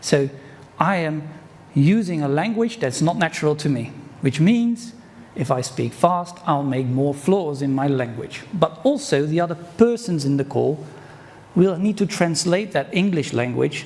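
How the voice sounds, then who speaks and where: With a Dutch accent and a fairly high pitch, a man speaks at a fairly slow pace with lively intonation over noticeable background noise. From Netherlands. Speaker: conference speaker. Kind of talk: conference talk.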